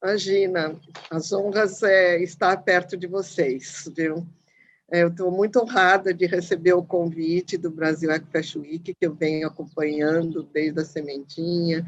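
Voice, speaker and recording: Speaking with fairly even intonation at a fairly low pitch, a woman has a plain, everyday voice. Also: fairly slow pace. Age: 60s. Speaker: fashion professor. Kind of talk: panel discussion.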